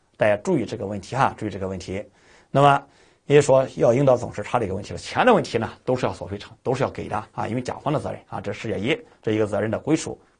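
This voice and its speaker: A man talks at a very fast pace in a somewhat breathy voice, with ordinary pitch variation and big swings in loudness against a quiet background. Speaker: exam prep lecturer. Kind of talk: lecture.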